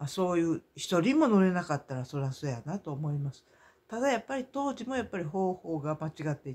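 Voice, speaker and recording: A man with a Kansai accent speaks at a fairly quick pace and a high pitch. His pitch swings very widely. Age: 60s. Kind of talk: casual monologue vlog. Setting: at home, in pajamas. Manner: halting, many fillers.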